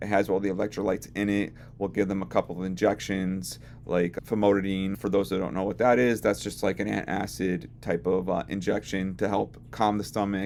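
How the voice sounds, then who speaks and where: A man with vocal fry talks at a fairly quick pace. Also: fairly low pitch for a man, ordinary pitch variation. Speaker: veterinary technician. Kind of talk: educational talk to camera.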